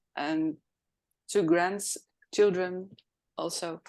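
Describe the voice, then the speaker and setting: In a Dutch accent, a woman talks very slowly at a medium pitch against a quiet background. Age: 60s. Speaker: professional organizer. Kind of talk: interview.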